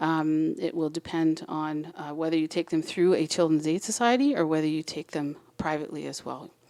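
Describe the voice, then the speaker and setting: Moving at a fairly quick pace with hardly any pauses, a woman speaks in a very deep, low pitch with a dark, mellow tone and fairly even intonation. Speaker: adoption agency representative. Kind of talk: presentation. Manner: fast.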